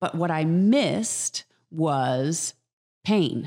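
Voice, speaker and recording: Lively intonation marks a woman's very deep, low pitch. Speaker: acting coach, co-host. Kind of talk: casual interview chat.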